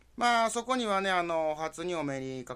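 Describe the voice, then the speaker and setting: A man speaks at a moderate pace in a Kansai accent, his pitch swinging very widely. The recording is very clean, with a silent background. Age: 40s. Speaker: podcast host. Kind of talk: casual solo monologue.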